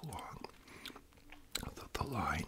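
A man is heard over loud background noise. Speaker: storyteller. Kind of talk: casual vlog storytelling while eating. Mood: relaxed, amused. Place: home room. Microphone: studio mic.

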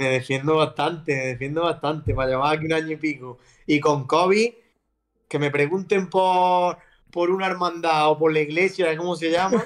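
The delivery moves at a moderate pace with ordinary pitch variation. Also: man, fairly high pitch for a man, quiet background. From Andalusia, Spain (Almería); Andalusia, Spain. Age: 30s. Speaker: footballer; guest. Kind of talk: casual chat. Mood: relaxed, laughing, storytelling. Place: home room. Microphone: video call.

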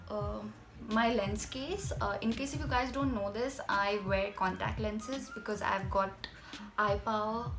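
A woman speaks at a fairly slow pace with ordinary pitch variation, faint music playing in the background. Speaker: beauty vlogger. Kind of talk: casual vlog chat. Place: home room. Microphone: phone near.

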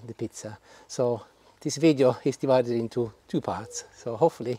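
Ordinary pitch variation marks a voice with a dark, mellow tone. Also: man, dry sound with no echo. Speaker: cooking vlogger. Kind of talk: tutorial. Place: garden. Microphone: lapel.

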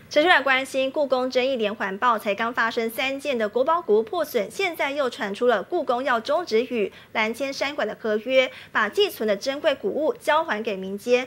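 Speaking at a moderate pace, a woman uses lively intonation in a high voice. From Taiwan. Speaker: TV news anchor. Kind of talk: news reading. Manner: formal. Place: studio.

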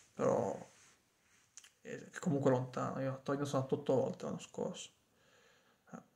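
A man with fairly high pitch, a dark, mellow tone and a somewhat breathy sound, lively intonation, big swings in loudness, a fairly quick pace and long, frequent pauses. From Piedmont, Cuneo province; Piedmont. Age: 30s. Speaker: vlogger. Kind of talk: casual monologue to a friend; casual vlog chat. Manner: halting, with frequent repetitions. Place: home room. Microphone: phone near.

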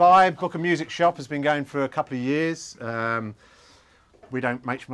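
A man talks with ordinary pitch variation. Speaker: shop host. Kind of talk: event welcome announcements. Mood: jovial, joking. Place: shop. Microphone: camera far.

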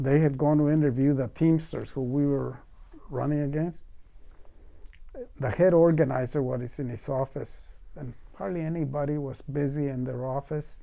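Fairly high-pitched man, dark and mellow in tone, with fairly even intonation over a quiet background. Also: moderate pace. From Mexico. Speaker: farmworker movement organizer. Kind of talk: oral history interview answer. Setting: interview recording. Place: studio.

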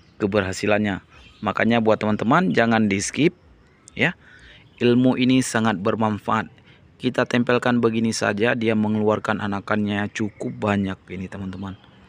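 At a moderate pace, an animated, upbeat voice comes through dry, with no echo at all. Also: man, fairly low pitch for a man. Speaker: orchid seller vlogger. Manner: animated, upbeat, repetitive salesman patter. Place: garden. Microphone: phone near.

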